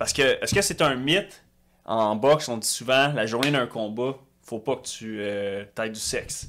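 The speech has lively intonation and a bright, sharp tone at a moderate pace, on a very clean recording with a silent background. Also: man. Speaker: podcast co-host. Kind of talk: casual podcast chat.

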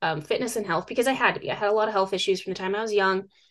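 A woman with an American accent speaks at a fairly high pitch against a quiet background. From US Northwest (northern Idaho). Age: 30s. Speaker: survivalist and outdoor educator. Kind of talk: interview.

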